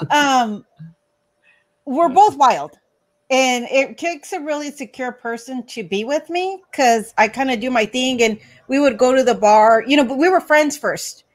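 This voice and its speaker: In a very clean recording with a silent background, a woman speaks loudly, fairly slowly and at a high pitch. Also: lively intonation. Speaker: guest on live stream. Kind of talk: casual chat.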